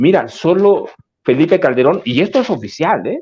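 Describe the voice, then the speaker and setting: His speech moves at a moderate tempo. The man's pitch rises and falls across a very wide range. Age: 60s. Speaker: journalist and author. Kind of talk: political discussion.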